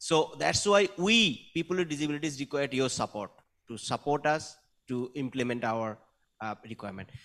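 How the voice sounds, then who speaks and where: A man's fairly high, lively voice at a moderate pace, in a very clean recording with a silent background. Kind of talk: panel discussion talk. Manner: halting, with self-corrections.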